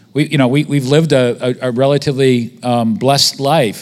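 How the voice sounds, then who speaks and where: At a moderate pace, a man speaks in an unremarkable speaking voice of medium pitch. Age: 50s. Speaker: visiting preacher. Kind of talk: sermon.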